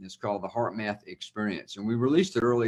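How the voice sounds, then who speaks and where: A man with a Southern accent, medium-pitched, talking very fast with fairly even intonation. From US South, Louisiana. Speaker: institute co-founder. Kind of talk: interview.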